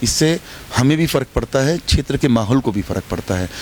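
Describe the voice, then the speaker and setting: A man's moderate pace and lively intonation against noticeable background noise. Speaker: politician. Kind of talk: interview statement. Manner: loud.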